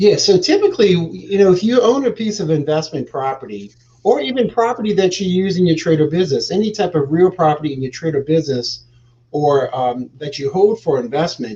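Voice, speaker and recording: A man speaks at a fairly quick pace in a high pitch. His pitch swings very widely. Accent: American. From New Orleans, US South. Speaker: real estate exchange specialist. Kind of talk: interview on a live show. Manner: hesitant fillers.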